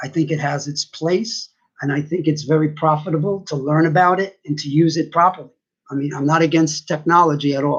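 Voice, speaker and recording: A man speaks at a moderate pace in an unremarkable speaking voice. His pitch is fairly high and his intonation fairly even. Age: 60s. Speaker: vlogger sharing personal views. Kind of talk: personal monologue.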